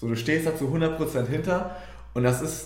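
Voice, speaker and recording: The voice moves at a moderate pace, with audible room echo and noticeable background noise. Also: man. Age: 20s. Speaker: team member of a coaching business. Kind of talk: casual interview.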